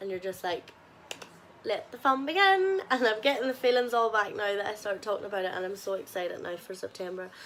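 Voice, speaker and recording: A woman speaks at a fairly quick pace with a strong Northern Irish accent and a fairly high pitch. Her pitch varies in an ordinary way, and background noise is noticeable. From Northern Ireland, Ballymena. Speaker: travel vlogger. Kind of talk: casual vlog monologue.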